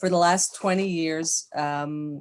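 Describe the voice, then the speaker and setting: Here a woman with an American accent uses a normal speaking voice at a fairly low pitch. She talks at a fairly slow pace with fairly even intonation. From United States. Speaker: psychologist, author. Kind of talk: podcast interview.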